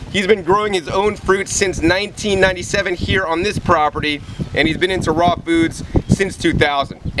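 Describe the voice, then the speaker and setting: Despite noticeable background noise, a man is heard speaking at a moderate pace in a high pitch. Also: fairly even intonation. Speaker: raw food channel host. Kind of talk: casual talk to camera introducing an interview. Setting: outdoors.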